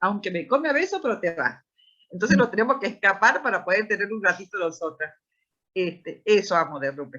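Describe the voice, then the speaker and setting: Her tone is bright and sharp, with lively intonation. The woman moves at a fairly quick pace. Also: medium pitch for a woman. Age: 60s. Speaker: founder of a special-needs institution, parent. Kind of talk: panel discussion.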